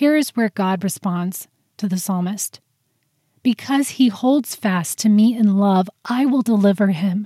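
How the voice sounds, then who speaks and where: A woman speaks at a fairly slow pace in a dark, mellow tone. Her voice is somewhat breathy, with ordinary pitch variation. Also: medium pitch for a woman, dry, close sound with no echo. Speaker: prayer podcast host. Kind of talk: fervent spoken prayer addressed to God. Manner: earnest, heartfelt, fervent.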